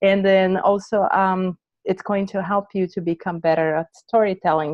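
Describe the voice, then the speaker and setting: In a non-native accent, a woman speaks at a moderate pace with a fairly low pitch and monotone, flat intonation. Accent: foreign. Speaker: branding coach, entrepreneur. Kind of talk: casual interview chat.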